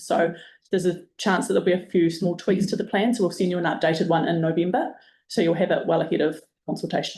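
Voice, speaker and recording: A woman's fairly low voice in a New Zealand accent, very fast and with fairly even intonation. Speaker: project manager presenting to community board. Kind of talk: presentation briefing.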